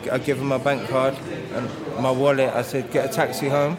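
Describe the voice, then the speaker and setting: A man talks at a fairly quick pace with an English accent and a medium pitch. Noticeable background noise and audible room echo fill the recording. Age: 40s. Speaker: bereaved partner. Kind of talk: interview testimony.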